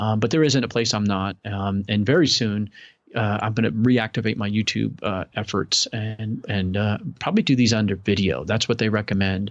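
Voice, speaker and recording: A man's fairly low voice with ordinary pitch variation against a quiet background. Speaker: podcast host and online seller. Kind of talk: casual interview chat. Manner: fast; animated.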